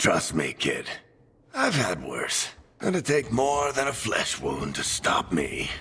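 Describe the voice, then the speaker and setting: The speaker uses a put-on character voice and moves at a fairly slow pace. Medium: video game. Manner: wry, casual.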